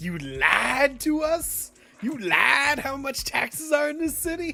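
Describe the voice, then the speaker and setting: Someone uses a put-on character voice, pitched high and delivered at a fairly slow pace. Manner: indignant, brash, comic.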